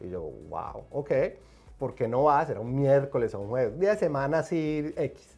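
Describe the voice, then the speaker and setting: Over music in the background, an animated man with a Colombian accent talks at a moderate pace, fairly high in pitch, with lively intonation and big swings in loudness. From Colombia, Medellín. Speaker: film and TV director and producer. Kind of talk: interview.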